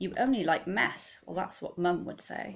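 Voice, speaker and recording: Over a quiet background, the voice carries lively intonation with some vocal fry. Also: woman. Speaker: teacher reading aloud. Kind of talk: children's story reading aloud, rhyming picture book, bedtime-story style. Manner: animated, playful, dramatic expression. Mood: warm, expressive storytelling. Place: home room. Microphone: phone near.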